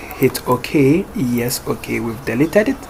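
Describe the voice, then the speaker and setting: A man's fairly high voice, with pitch that varies in an ordinary way, comes through over noticeable background noise. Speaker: programming tutorial creator. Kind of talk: screen-recorded coding tutorial. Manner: casual with many fillers.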